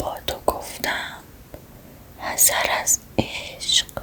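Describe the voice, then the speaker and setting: The voice is a whisper, very slow in pace. Noticeable background noise accompanies it. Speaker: ASMR creator. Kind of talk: whispered poetry reading. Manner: whispered, soft.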